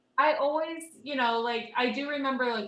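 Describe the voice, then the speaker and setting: With an animated tone and an American accent, a woman speaks amid audible room echo. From rural Texas (near Austin). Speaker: podcast guest. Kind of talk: casual chat, storytelling.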